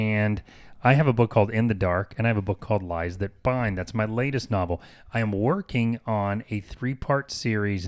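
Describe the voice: Ordinary pitch variation across plain reading aloud.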